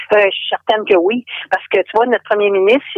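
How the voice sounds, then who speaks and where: In a Quebec accent, a woman speaks at a medium pitch. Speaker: expat caller from Quebec. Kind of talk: casual phone interview. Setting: phone call.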